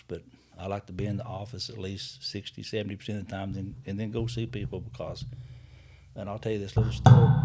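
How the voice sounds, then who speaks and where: In an American accent, a man speaks at a fairly quick pace with a fairly low pitch, a dark, mellow tone, vocal fry and fairly even intonation. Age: 70s. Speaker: county mayor. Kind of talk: interview. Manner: halting.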